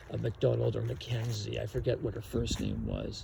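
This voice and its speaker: His pace is moderate. This man has a Canadian accent. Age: 60s. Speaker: vlogger. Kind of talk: casual monologue.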